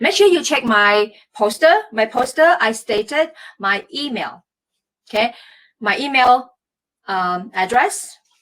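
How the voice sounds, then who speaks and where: A woman with a Malaysian accent speaks at a fairly slow pace with long, frequent pauses. Her high voice moves in very wide pitch swings. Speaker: former Olympic athlete and performance coach. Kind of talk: live stream talk. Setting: Facebook live stream.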